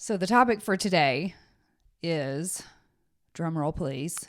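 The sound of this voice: In a very clean recording with a silent background, a woman speaks slowly at a low pitch with lively intonation.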